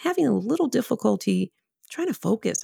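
On a very clean recording with a silent background, a woman talks at a fairly quick pace with an American accent. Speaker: instructional designer. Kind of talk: personal story performance. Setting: recorded at home.

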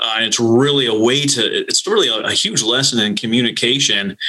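A man speaks in a normal speaking voice with an American accent. His pitch is medium and his pace fairly quick. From northern Minnesota. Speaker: naval flight officer and nonprofit consultant. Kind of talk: interview.

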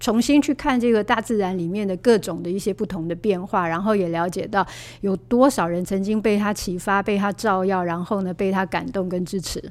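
Using an unremarkable speaking voice, a woman talks at a fairly quick pace with hardly any pauses, her medium pitch showing ordinary variation. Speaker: author and aromatherapy teacher. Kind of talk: interview.

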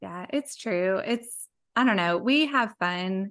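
Against a quiet background, a woman speaks at medium pitch in a bright, sharp tone. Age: 40s. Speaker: social media content creator. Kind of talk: casual interview chat.

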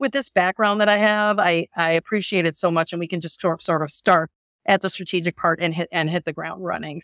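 A woman with an ordinary speaking voice talks at a fairly quick pace in a fairly low pitch with ordinary pitch variation. The recording is very clean, with a silent background and a dry, close sound with no echo. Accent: American. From US Midwest, Northwest Indiana. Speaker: financial services CEO. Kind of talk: interview.

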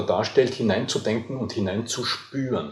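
This is a man with a medium-pitched voice. His pitch rises and falls in an ordinary way. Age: 50s. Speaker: voice coach. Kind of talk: interview. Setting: hotel.

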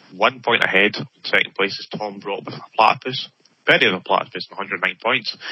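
This is a plain, everyday voice with ordinary pitch variation. It moves at a moderate pace, with big swings in loudness. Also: man, fairly low pitch for a man. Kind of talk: casual chat. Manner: talkative, laughs often.

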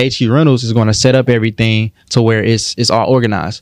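An ordinary speaking voice, delivered at a fairly quick pace. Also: man. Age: 20s. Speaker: entrepreneur and credit educator. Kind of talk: podcast interview.

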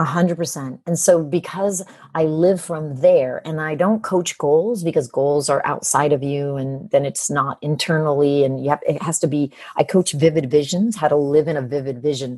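Speaking at a moderate pace, a woman has a very deep, low pitch, a dark, mellow tone and ordinary pitch variation. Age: 50s. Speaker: business coach and author. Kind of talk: interview.

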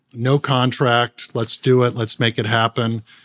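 A man with a Californian accent speaks at a moderate pace in a medium pitch, recorded very cleanly against a silent background with a dry, close sound and no echo. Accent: General American (Californian). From Southern California (San Gabriel). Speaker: podcast host and charity founder. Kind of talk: interview.

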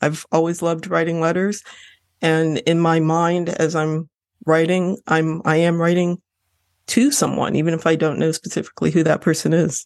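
An ordinary speaking voice from a woman with an American accent, fairly low in pitch and at a moderate pace. Her intonation is fairly even and her loudness very even. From Lorain, Ohio. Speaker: novelist. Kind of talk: interview.

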